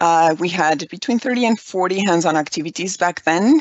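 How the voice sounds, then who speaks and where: A woman with a Spanish accent talks at a fairly low pitch with ordinary pitch variation. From Mexico (Aguascalientes). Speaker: environmental educator. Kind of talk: conference presentation.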